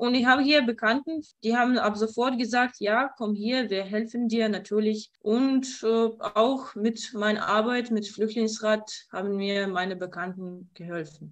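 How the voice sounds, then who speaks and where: With ordinary pitch variation, a woman's voice sits fairly high in pitch. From Kyiv, Ukraine. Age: 20s. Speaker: student and interpreter. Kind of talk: interview. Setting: video call. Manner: halting.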